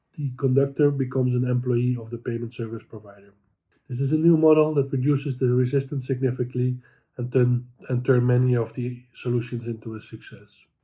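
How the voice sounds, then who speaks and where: A man speaks in a medium pitch with a dark, mellow tone. His voice is somewhat breathy, with monotone, flat intonation. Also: fairly quick pace. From Netherlands. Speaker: transit payments executive. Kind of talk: prepared commentary. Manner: halting.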